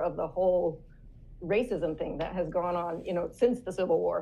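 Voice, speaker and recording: At a moderate pace, a woman uses an ordinary speaking voice at medium pitch. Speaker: author and speaker; homeschooling mother. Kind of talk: casual interview chat.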